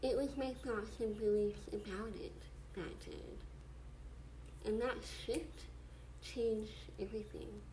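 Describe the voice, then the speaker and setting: A woman talks at a very slow pace. Noticeable background noise sits behind her. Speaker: mindset coach. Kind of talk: casual talk to camera.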